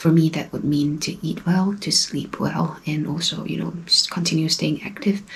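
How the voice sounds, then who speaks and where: Over noticeable background noise, a soft-spoken woman talks at a fairly slow pace, her fairly low voice held to fairly even intonation. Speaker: travel vlogger. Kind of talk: casual talk to camera. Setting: indoors, own room.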